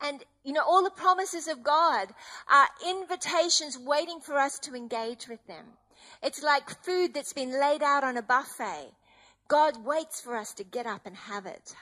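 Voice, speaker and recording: Raised and projected, a woman's voice has a bright, sharp tone, a high pitch and lively intonation, moving at a moderate pace over a quiet background. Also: big swings in loudness. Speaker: preacher. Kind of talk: sermon.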